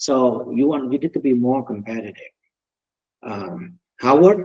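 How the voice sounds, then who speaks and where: A man talks at a moderate pace with a strong non-native accent. His voice is medium-pitched and dark and mellow in tone, with ordinary pitch variation. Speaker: mortgage company founder and loan officer. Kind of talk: webinar presentation. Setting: video call.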